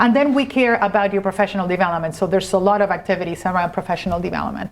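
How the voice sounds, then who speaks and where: A woman speaks at a very fast pace with a medium pitch and ordinary pitch variation. Noticeable background noise runs behind her. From Argentina. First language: Spanish. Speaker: corporate lawyer. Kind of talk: interview.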